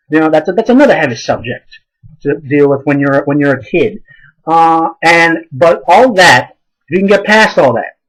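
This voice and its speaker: A man mumbles at a moderate pace in a high voice, animated in tone with lively intonation. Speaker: amateur theatre reviewer. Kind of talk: casual video review. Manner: mumbling.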